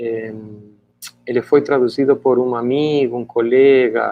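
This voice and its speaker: This is a man with a Spanish accent. His pitch is medium. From Argentina, Buenos Aires. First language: Spanish (speaking Portuguese). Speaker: author and education scholar. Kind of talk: interview. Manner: halting, many repetitions.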